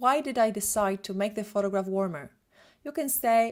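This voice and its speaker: A woman with a Polish accent speaks at a medium pitch with ordinary pitch variation. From Poland. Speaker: photographer and retoucher. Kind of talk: lecture. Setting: live webinar. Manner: fast.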